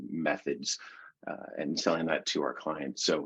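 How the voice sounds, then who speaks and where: This man has a very deep, low pitch and vocal fry. He speaks at a moderate pace. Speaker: CEO of an SEO agency. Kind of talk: webinar presentation. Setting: video call webinar. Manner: casual with many fillers.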